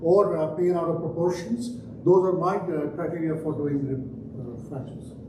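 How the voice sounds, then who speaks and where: In a room with audible echo and noticeable background noise, a man with a strong Indian accent speaks at a high pitch with fairly even intonation. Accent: Indian accent, still strong. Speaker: trauma surgeon. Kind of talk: conference talk. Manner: hesitant, many fillers.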